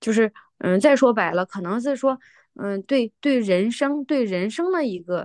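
Recorded with a dry, close sound with no echo and a quiet background, a plain, everyday voice moves at a fairly slow pace. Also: woman, fairly high pitch for a woman. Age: 40s. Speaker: mother of three. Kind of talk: casual chat.

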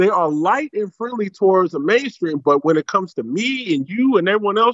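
The voice is loud, with very wide pitch swings. It moves at a moderate pace. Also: man. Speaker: caller. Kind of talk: casual chat. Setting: phone call.

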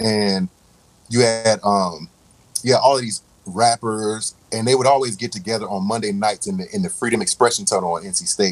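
A man speaks at a moderate pace in a medium pitch with ordinary pitch variation. He has a normal speaking voice. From Raleigh, North Carolina. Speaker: music producer and DJ. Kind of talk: casual interview.

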